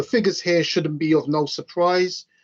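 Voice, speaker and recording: At a moderate pace and with ordinary pitch variation, the speaker talks in an East London accent against a quiet background. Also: man. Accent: East End London. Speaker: railway signalling trainer. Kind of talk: conference presentation.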